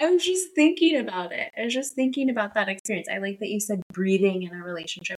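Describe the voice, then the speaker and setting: Soft-spoken, a woman talks at a very fast pace and fairly high pitch. Her pitch swings very wide and her loudness shifts greatly. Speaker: marriage and family therapist. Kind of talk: casual interview. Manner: careful, measured.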